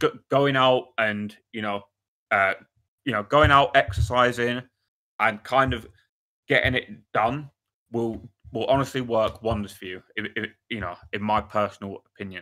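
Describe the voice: The man's tone is bright and sharp at a medium pitch. His intonation stays fairly even at a moderate pace.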